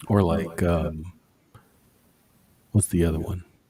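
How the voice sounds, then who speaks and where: A man talks at a fairly slow pace with a very deep, low pitch. His tone is dark and mellow and somewhat breathy. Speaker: livestream host. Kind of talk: casual chat. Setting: livestream. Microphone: mic turned way down, close to mouth; echo on the stream audio.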